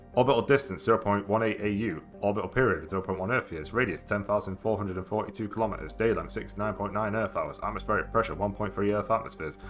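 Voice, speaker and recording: A man with a British accent talking at a very fast pace with hardly any pauses, over noticeable background noise. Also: fairly low pitch for a man, ordinary pitch variation. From UK. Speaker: gaming streamer. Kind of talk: reading aloud.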